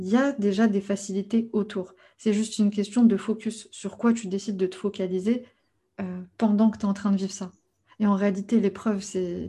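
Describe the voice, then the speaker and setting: At a moderate pace, a woman of medium pitch talks in a somewhat breathy voice with a dark, mellow tone and monotone, flat intonation. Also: quiet background. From France. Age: 30s. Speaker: life coach. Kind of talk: interview.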